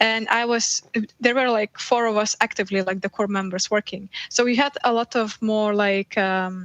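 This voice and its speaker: Speaking in a Lithuanian accent, a woman talks at a moderate pace and a fairly high pitch. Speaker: video game VFX artist. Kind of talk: casual interview chat.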